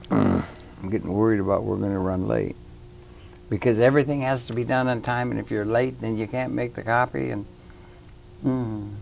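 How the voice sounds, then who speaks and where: Music plays in the background. The speech moves at a moderate pace with ordinary pitch variation and long, frequent pauses. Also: man, medium pitch for a man. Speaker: talk show host. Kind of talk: TV interview host talk. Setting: studio.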